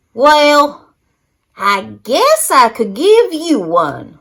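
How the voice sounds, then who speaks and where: A woman's put-on character voice, high in pitch, at a very slow pace. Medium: read story. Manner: gruff, snappy.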